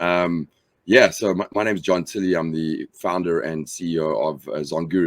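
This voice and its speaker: Speaking at a moderate pace, a man with a South African accent uses a very deep, low pitch and fairly even intonation. The sound is dry and close, with no echo. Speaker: company founder. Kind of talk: interview. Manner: halting, many fillers.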